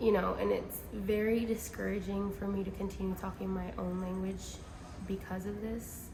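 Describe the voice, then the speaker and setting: A woman talks at a fairly slow pace. Audible room echo and noticeable background noise are present. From US, Mexican family background. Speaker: vlogger. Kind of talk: casual vlog monologue. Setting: airport, in public.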